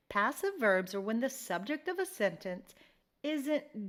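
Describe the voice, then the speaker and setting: Very slow speech with an American accent and very wide pitch swings, on a very clean recording with a silent background. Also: woman. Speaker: English teacher. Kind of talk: poetry analysis lecture.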